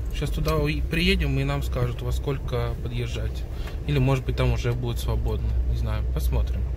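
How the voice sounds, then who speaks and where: Noticeable background noise sits under a man speaking at a moderate pace. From St. Petersburg, Russia. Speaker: vlogger. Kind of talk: casual vlog talk to camera. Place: car. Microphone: phone near.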